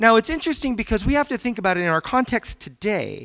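The recording has a dry, close sound without any echo. It features a man with an American accent. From Virginia, US. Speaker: guest speaker, academic. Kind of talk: sermon-style talk. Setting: church stage with audience.

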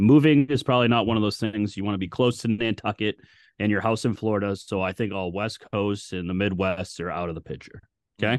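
Against a quiet background, a man with an unremarkable speaking voice and a fairly low pitch talks at a fairly quick pace with ordinary pitch variation. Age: 30s. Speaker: sports podcast co-host. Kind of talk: casual chat. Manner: profane, bantering.

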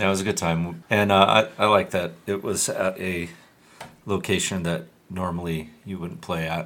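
Very deep and low in pitch, a man talks at a moderate pace with fairly even intonation. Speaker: hardcore band member. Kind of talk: casual chat. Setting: studio.

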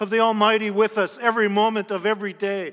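A raised, projected male voice, bright and sharp in tone. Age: 50s. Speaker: pastor, national church leader. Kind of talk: sermon.

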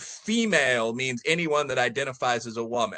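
In a Midwestern American accent, a man talks at a moderate pace. His pitch varies in an ordinary way. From US Midwest, Chicago area. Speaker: professor. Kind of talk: casual chat. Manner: talkative, rambling.

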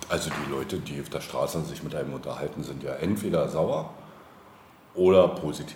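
Audible room echo and noticeable background noise accompany a man who talks fairly quickly. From Brandenburg, former East Germany. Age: 40s. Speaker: local politician. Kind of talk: casual interview. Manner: hesitant, many fillers.

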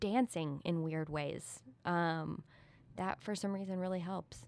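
A woman speaks at a medium pitch with ordinary variation and a fairly slow pace. The recording is very clean, with a silent background. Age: 20s. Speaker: artist. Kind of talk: casual interview. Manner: hesitant, many fillers.

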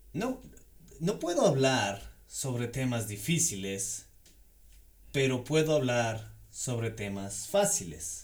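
There is audible room echo around a man speaking at a very slow pace. His voice is somewhat breathy, with very wide pitch swings. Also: medium pitch for a man. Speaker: Spanish language teacher. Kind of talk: language lesson.

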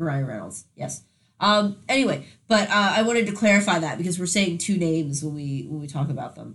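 A somewhat breathy woman at a fairly quick pace, with lively intonation. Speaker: podcast host. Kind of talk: casual chat. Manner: halting, many fillers.

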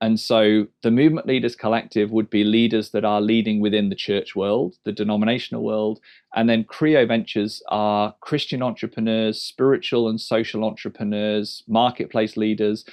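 Speaking with an English accent at a moderate pace, the voice stays flat and monotone. There are hardly any pauses. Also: man, medium pitch for a man. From England. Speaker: church movement leader. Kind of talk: casual interview.

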